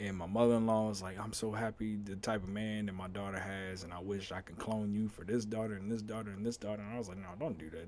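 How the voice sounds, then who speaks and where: In an unremarkable speaking voice, a man talks at a fairly quick pace with fairly low pitch and fairly even intonation. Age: 30s. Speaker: podcast host. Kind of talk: casual monologue.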